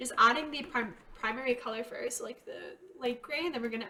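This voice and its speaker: A woman speaks with a fairly high pitch and lively intonation. Noticeable background noise can be heard behind her. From Quebec, Canada. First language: French. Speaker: art youtuber. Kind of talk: drawing livestream tutorial with chat. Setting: live stream. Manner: casual, hesitant with many ums.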